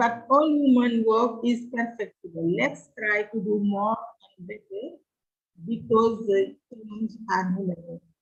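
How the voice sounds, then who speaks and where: A woman with a fairly high pitch speaks at a fairly slow pace, her somewhat breathy voice showing big swings in loudness and ordinary pitch variation. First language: not English. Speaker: conference speaker. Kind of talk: conference presentation.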